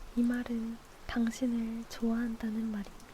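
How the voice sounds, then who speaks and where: Here a woman speaks at a fairly high pitch. Her pace is very slow. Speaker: ASMR streamer. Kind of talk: ASMR book reading with rain sound. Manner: soft, intimate, slow.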